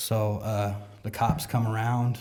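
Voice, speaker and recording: A man's somewhat breathy, fairly low voice with a dark, mellow tone, an American accent and ordinary pitch variation. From South San Jose, California. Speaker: church member sharing testimony. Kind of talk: testimony. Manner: casual, halting with fillers.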